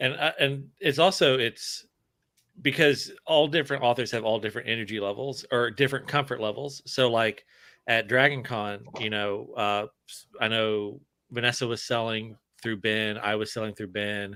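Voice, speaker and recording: With a Southern US accent, a man talks at a moderate pace in a bright, sharp tone, his medium pitch showing ordinary variation. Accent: Southern US, weak. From Alabama, US South. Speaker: author. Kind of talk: casual chat.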